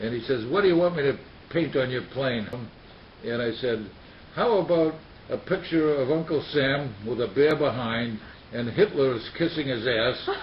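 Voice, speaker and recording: With an American accent and lively intonation, a man of medium pitch speaks at a moderate pace, pausing long and often over noticeable background noise. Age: 90s. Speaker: war veteran. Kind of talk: interview. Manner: halting.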